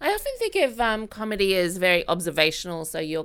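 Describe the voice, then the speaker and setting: A woman with an Australian accent talks at a moderate speed. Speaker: podcast host. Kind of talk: interview.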